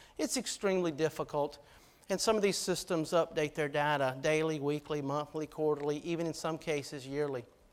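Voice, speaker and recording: With a Georgia accent, this man talks fairly quickly at a fairly high pitch, his intonation fairly even. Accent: Georgia Southern. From US South, Georgia. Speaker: army officer, keynote speaker. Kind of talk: keynote speech.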